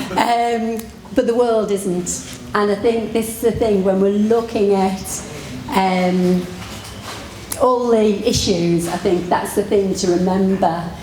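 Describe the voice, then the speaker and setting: A woman at medium pitch, very slow and fairly even, with audible room echo and noticeable background noise. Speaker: physiotherapist. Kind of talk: conference talk. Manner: halting.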